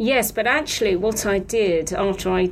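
A woman speaks at a medium pitch and a moderate pace. Background noise is noticeable. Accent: British. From Britain. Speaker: paediatric oncologist and haematologist. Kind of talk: interview explaining medical topic.

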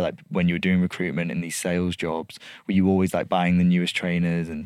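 In a Lancashire accent, a man with a very deep, low pitch talks at a fairly quick pace on a very clean recording with a silent background. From northern England, Blackpool. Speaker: podcast host, agency founder. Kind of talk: casual interview chat. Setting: studio.

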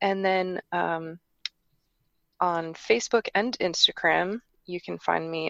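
A woman with an American accent speaks at a fairly slow pace. The sound is dry and close with no echo, over a quiet background. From New York metropolitan area, US. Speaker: horse traveller. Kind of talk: interview.

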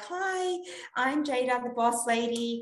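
In a put-on character voice, a woman speaks at a fairly slow pace and high pitch with lively intonation. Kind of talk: corporate, professional. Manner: prim, polished.

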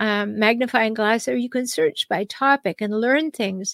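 A woman with a plain, everyday voice and a Canadian accent speaks at a fairly slow pace with a fairly high pitch. The recording is very clean and dry, close, with a silent background and no echo. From Canada. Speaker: podcast host, relationship counselor. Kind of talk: solo advice monologue.

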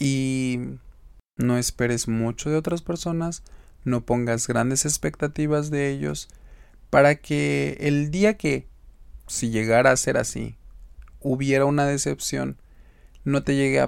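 Long, frequent pauses interrupt speech that moves at a fairly slow pace. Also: man. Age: 20s. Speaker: podcast host. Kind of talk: casual monologue.

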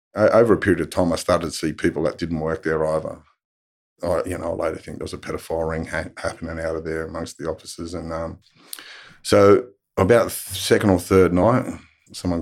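This man has a strong Australian accent and a very deep, low pitch, speaking at a fairly quick pace with fairly even intonation. The recording is very clean, with a silent background. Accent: broad Australian. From Australia, western Sydney. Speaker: abuse survivor and advocate. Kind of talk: testimony. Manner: halting.

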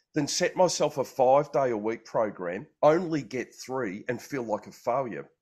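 Lively intonation from a man at medium pitch, fairly slow pace and a quiet background. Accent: Australian. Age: 50s. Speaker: health and wellbeing coach. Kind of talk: casual chat. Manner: halting.

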